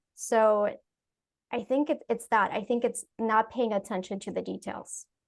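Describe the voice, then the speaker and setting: A woman's fairly high voice in a non-native accent, fairly even in intonation and fairly slow in pace. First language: not English. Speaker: UX professional. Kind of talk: panel discussion.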